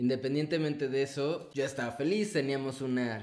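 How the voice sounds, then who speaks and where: A normal speaking voice with ordinary pitch variation. The pace is moderate. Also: man. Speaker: adoptive father. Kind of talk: casual interview chat.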